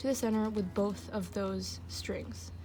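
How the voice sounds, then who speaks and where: Her voice somewhat breathy, a woman speaks at a medium pitch with a dark, mellow tone. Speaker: craft tutorial maker. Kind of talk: tutorial voice-over.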